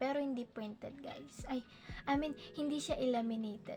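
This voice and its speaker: The woman's intonation stays fairly even. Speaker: YouTuber. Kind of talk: tutorial. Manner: halting; louder than usual.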